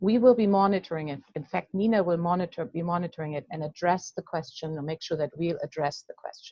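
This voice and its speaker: With a German accent, a woman speaks using ordinary pitch variation. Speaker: coaching association president. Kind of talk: webinar hosting. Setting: video call webinar. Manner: halting.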